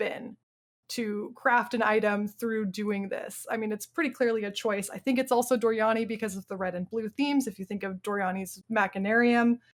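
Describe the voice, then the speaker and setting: The recording is very clean against a silent background. In it, a woman talks at a fairly high pitch. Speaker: podcast co-host discussing video games. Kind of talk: casual panel discussion. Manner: fast; animated.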